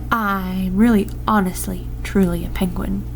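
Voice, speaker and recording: A woman's put-on character voice at a moderate pace, over loud background noise. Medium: read story.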